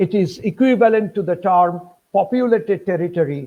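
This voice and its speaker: A man with a Bengali accent speaks at a moderate pace, his intonation lively. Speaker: history professor. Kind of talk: lecture. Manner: formal.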